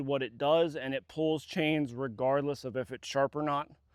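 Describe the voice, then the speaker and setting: On a very clean recording with a silent background and a dry, close sound with no echo, a man at a fairly high pitch talks at a moderate pace with fairly even intonation. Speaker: chainsaw vlogger. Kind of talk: casual vlog narration. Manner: casual, filler words; loud.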